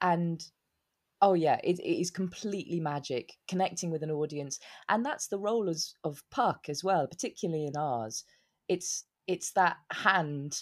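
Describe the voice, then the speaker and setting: A woman with a southern English accent talks at a fairly slow pace with ordinary pitch variation. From southern England, Newbury in Berkshire. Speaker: stage actor. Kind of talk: interview.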